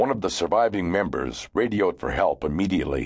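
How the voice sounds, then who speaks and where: Against a quiet background, a man talks at a moderate pace in a serious tone with vocal fry. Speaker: audiobook narrator. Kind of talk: dramatic audiobook narration, telling a grim true story of a deadly avalanche. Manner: gravely serious, suspenseful, building tension with measured pacing; vivid storyteller, brisk and urgent during the avalanche and rescue.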